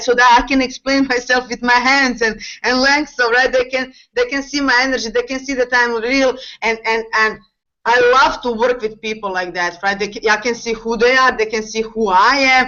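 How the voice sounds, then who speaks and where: A woman with a non-native accent speaks at a moderate pace. Her voice is high, with ordinary pitch variation. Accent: foreign accent, non-native English. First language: not English. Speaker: network marketing distributor. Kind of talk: panel discussion on video call. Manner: halting, many fillers.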